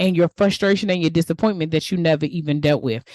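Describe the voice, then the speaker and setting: An animated woman with a DMV accent, recorded with a dry, close sound and no echo. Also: quiet background. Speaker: podcast host and life coach. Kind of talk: motivational podcast monologue. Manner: casual, animated.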